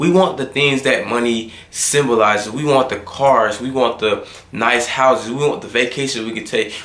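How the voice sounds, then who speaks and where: A man of medium pitch speaks at a moderate pace with ordinary pitch variation, with noticeable background noise and audible room echo. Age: 20s. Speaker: motivational vlogger. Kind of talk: motivational monologue. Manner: casual.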